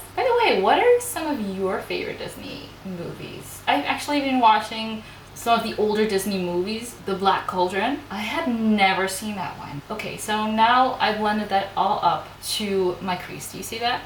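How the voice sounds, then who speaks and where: A non-native accent with ordinary pitch variation and big swings in loudness, amid audible room echo and noticeable background noise. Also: woman, fairly high pitch for a woman, moderate pace. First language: not English. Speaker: beauty youtuber, makeup artist. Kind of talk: casual chat; makeup tutorial. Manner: casual, chatty.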